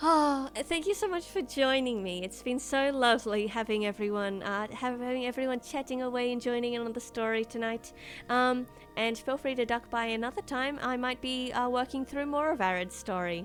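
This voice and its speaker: With music in the background, a woman speaks in a high voice with a strong Australian accent, ordinary pitch variation, and a moderate pace. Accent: Australian, strong, rather proper-sounding. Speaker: streamer. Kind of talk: live stream chat with viewers. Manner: halting, many fillers; speaks very properly.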